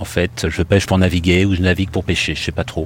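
A man's voice is very deep and low, and somewhat breathy. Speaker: airline pilot, rescue survivor. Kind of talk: personal testimony. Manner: hesitant, with fillers.

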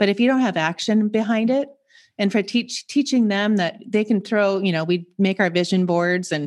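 Against a quiet background, a woman with an American accent uses an ordinary speaking voice at medium pitch, moderate pace and ordinary pitch variation. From US Pacific Northwest, Seattle. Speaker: transformational coach. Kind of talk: casual chat.

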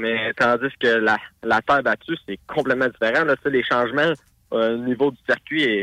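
The man's tone is bright and sharp, at a medium pitch. He talks at a fairly slow pace. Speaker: race car driver. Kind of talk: radio interview. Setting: phone call.

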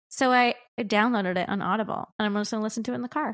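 The speaker has an ordinary speaking voice with ordinary pitch variation, moving at a fairly quick pace. The recording is very clean, with a silent background. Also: woman. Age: 30s. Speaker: podcast co-host. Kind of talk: casual chat. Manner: fast.

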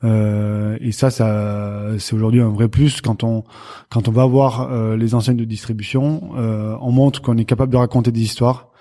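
With fairly even intonation, a man's medium-pitched voice moves at a fairly slow pace. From southwest France, Béarn near Pau. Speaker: cheese company founder. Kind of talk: interview. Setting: company premises.

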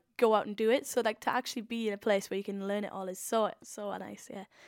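A woman with a Welsh accent, fairly high-pitched, at a fairly quick pace, in a dry, close sound with no echo. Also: very clean recording, silent background. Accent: Welsh (Swansea). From Wales, Swansea. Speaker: YouTube comedian. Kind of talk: interview. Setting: recording room at a rural retreat. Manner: casual, filler-heavy with frequent 'like'.

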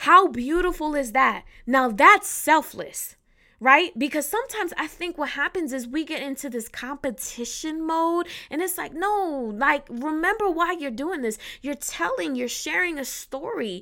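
A raised, projected, animated voice, bright and sharp in tone, at a moderate pace with very wide pitch swings on a very clean recording with a silent background. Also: woman, high pitch for a woman. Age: 30s. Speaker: podcast host. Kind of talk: solo podcast talk.

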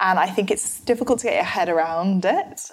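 With a London accent, a woman speaks using ordinary pitch variation. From London, England. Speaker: nutritional therapist and author. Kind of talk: interview conversation.

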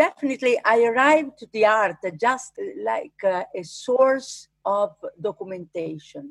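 Her fairly high-pitched voice moves through very wide pitch swings. The woman speaks at a fairly slow pace. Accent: Italian. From Italy, Umbria. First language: Italian. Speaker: arboreal archaeologist, fruit tree preserver. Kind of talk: interview. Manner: halting.

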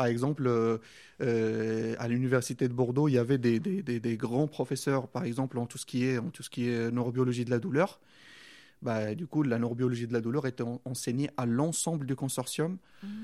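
A man with an Arabic accent speaks at a moderate pace with a medium pitch and a dark, mellow tone. The recording is very clean, with a silent background. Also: ordinary pitch variation. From Morocco. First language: Arabic (speaking French). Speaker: doctoral student. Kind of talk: interview. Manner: halting.

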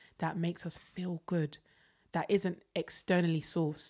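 In a South London accent, the speaker keeps a moderate pace with monotone, flat intonation. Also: woman. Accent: South London English, Jamaican heritage. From London, Peckham. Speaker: singer and creative director. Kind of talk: casual chat.

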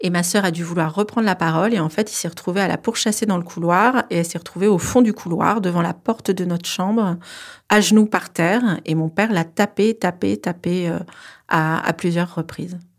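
At a moderate pace and medium pitch, a woman speaks with ordinary pitch variation on a very clean recording with a silent background. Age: 40s. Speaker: incest survivor. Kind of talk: testimony. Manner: hesitant with fillers.

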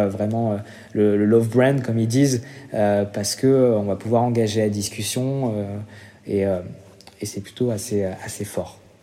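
Over noticeable background noise, a man of medium pitch talks at a fairly slow pace with a monotone, flat intonation. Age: 30s. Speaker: marketing director at an influencer agency. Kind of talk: interview. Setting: remote recording. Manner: hesitant, many fillers.

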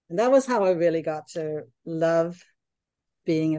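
A woman with a Danish accent speaks in a dark, mellow tone. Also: quiet background. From Denmark. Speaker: architect and hotel designer. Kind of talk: casual interview.

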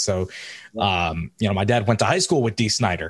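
At a moderate pace, a man with an ordinary speaking voice speaks at a fairly low pitch. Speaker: podcast host. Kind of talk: casual interview.

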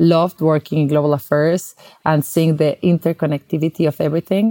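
A woman speaks at a very fast pace with a very deep, low pitch and a dark, mellow tone. Her intonation stays fairly even, and the sound is dry and close with no echo. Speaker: nonprofit founder and marketer. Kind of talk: interview.

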